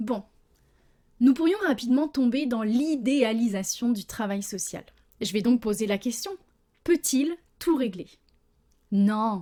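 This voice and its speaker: Passionate and dark, mellow in tone, a woman speaks at a high pitch and very slow pace with lively intonation and long, frequent pauses. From France. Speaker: social worker, podcast host. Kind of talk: podcast monologue. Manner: passionate, committed.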